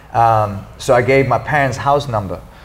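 The speaker is a man. His voice carries audible room echo over noticeable background noise. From Sweden. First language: Swedish. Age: 40s. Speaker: martial artist and activist. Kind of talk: interview.

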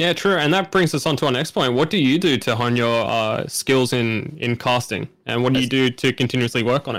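A man's medium-pitched voice with an Australian accent, fairly quick with hardly any pauses and ordinary pitch variation, on a very clean recording with a silent background. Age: 20s. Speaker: podcast co-host and streamer. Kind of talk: casual chat.

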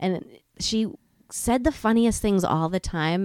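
In a very clean recording with a silent background, a woman with an American accent uses a normal speaking voice with ordinary pitch variation. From New England, US. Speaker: educator. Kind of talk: casual chat.

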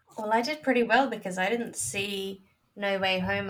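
A woman speaks at a moderate pace in a medium pitch with ordinary pitch variation and an unremarkable speaking voice. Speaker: guest film discussant.

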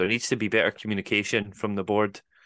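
A man speaks with a Scottish accent. His pace is very fast. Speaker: football podcast co-host. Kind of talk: quiz hosting; casual chat.

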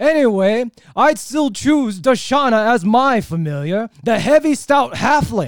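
A man uses a put-on character voice at an extremely high pitch. He talks at a fairly slow pace in a very clean recording with a silent background. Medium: actual play. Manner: chirpy, chatty.

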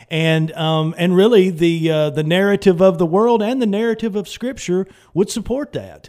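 Speaking with a Southern US accent, a man uses a high pitch and ordinary pitch variation. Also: moderate pace. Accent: Southern American. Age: 50s. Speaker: pastor. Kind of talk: radio talk show.

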